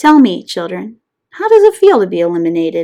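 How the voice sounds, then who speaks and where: At a fairly quick pace, a woman uses a put-on character voice at a medium pitch. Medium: read story.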